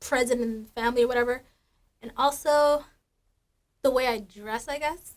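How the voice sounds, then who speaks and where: A woman with a high voice talks in fairly even intonation, her loudness swinging widely, with long, frequent pauses. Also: moderate pace. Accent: American. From Minnesota, US (Minneapolis). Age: 20s. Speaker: college student interviewee. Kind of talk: interview.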